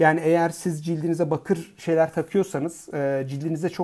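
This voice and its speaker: Against a silent background on a very clean recording, the talking is fairly quick. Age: 40s. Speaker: fertility doctor. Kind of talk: educational podcast monologue. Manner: hesitant fillers.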